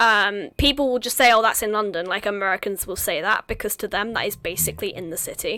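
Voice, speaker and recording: Barely stopping for breath, this woman rattles along at a very fast clip. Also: fairly high pitch for a woman, ordinary pitch variation. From southeast England, home counties. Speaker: stream host. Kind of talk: casual chat.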